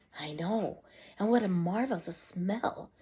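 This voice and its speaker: Soft-spoken, a woman uses a put-on character voice at a medium pitch with ordinary pitch variation, going at a fairly slow pace. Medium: read story. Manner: soft, hushed.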